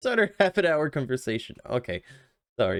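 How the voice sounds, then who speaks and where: In a Quebec accent, a man's voice makes very wide pitch swings, with a dry, close sound with no echo in a very clean recording with a silent background. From Quebec, Canada. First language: French. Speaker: video game streamer. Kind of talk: casual chat with viewers; reading game text aloud.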